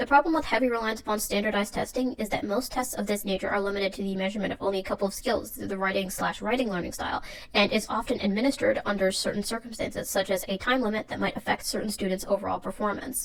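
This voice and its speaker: A woman talks at a very fast pace with hardly any pauses, her medium pitch showing ordinary variation. Noticeable background noise runs under the recording. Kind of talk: educational video essay narration.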